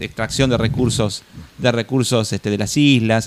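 A man speaks in a plain, everyday voice at a medium pitch, his intonation fairly even. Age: 40s. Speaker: podcast co-host. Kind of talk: casual chat.

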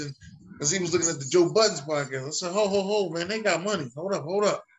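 Against noticeable background noise, a man talks very fast in a high voice with ordinary pitch variation. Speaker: podcast host. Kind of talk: casual chat.

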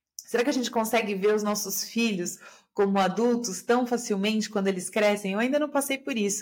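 A woman with a calm tone, medium pitch and ordinary pitch variation is captured on a very clean recording with a silent background. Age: 40s. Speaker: systemic therapist and podcaster. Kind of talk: solo podcast monologue.

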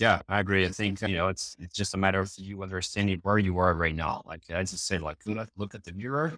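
In a Brazilian accent, a man with a very deep, low pitch and a bright, sharp tone speaks at a very fast pace with hardly any pauses and fairly even intonation, on a very clean recording with a silent background. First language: Portuguese. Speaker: EPM consulting director. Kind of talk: casual interview.

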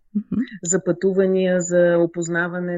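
A woman is speaking. Her pace is moderate. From Bulgaria, Burgas region. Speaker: fashion designer. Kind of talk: interview. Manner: halting, many fillers.

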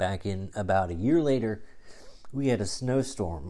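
A man talks in a dark, mellow tone at medium pitch. His pace is fairly slow, and his pitch varies in an ordinary way. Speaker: wrestling podcast host. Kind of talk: casual monologue. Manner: halting, many fillers.

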